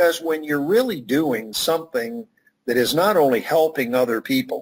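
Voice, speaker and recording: A man speaks at a moderate pace in a fairly high pitch. His pitch swings very widely while his loudness stays very even. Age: 60s. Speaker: networking expert and author. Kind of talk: interview.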